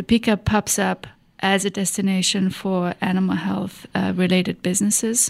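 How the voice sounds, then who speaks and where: In a German accent, a woman speaks at a moderate pace and a medium pitch, her intonation monotone and flat. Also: dry, close sound with no echo. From Germany. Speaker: economic development executive. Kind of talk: interview. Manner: halting, many fillers.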